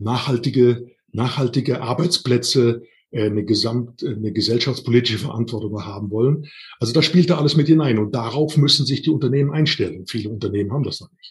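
Fairly quick pace from a man, somewhat breathy, with big swings in loudness and ordinary pitch variation. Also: medium pitch for a man. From Rhineland, Siebengebirge near Bonn. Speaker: workplace health and safety trainer. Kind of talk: interview.

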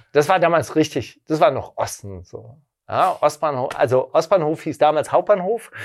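A man uses an ordinary speaking voice, moving at a moderate pace and varying his pitch in an ordinary way. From western Germany. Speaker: record label founder. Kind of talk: interview.

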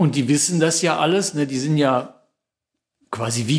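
A man with a normal speaking voice, fairly high pitched, with ordinary pitch variation. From Lower Rhine, western Germany (Kalkar). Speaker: novelist and painter. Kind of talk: interview, personal recollection.

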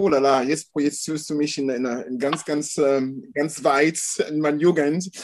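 The speech moves at a very slow pace, in a French accent. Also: man. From France, Caribbean parents. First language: French (speaking German). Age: 50s. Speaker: photographer. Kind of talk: casual interview. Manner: halting.

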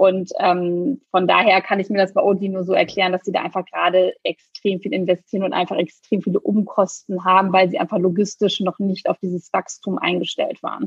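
Somewhat breathy and at medium pitch, a woman speaks at a fairly quick pace with hardly any pauses. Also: fairly even intonation. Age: 30s. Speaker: startup founder. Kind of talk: podcast interview. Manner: frequent fillers.

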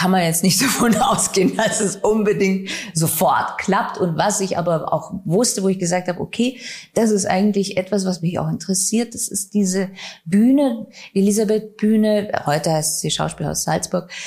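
Through noticeable background noise, a woman speaks at a moderate pace with a medium pitch and ordinary pitch variation. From Bavaria, Regensburg. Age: 40s. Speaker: stage actress and director. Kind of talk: interview.

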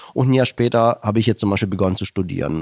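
A man's fairly low voice with lively intonation, dry and close with no echo. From Germany, Stuttgart area (fled from Slovakia at six). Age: 40s. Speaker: podcast co-host, businessman. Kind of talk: casual chat.

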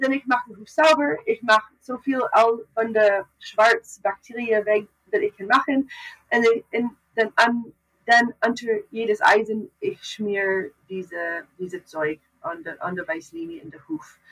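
A woman with a fairly high pitch speaks at a fairly slow pace, her loudness swinging widely, in a dry, close sound with no echo. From Canada. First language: English (also Dutch) (speaking German). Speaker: farrier. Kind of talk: casual interview. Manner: halting, mixing German, English and Dutch.

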